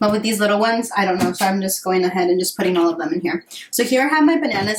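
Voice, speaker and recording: A woman with a fairly high voice talks very fast while noticeable background noise carries on. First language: bilingual Spanish and English. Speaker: lifestyle vlogger. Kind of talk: casual baking tutorial vlog. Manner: casual, hesitant with fillers.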